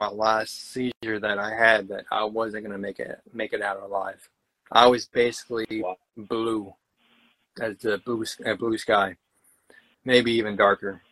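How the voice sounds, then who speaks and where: In a dry, close recording with no echo, a man with a bright, sharp tone and medium pitch speaks in a flat monotone, leaving long, frequent pauses. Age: 30s. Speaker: poet. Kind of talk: interview.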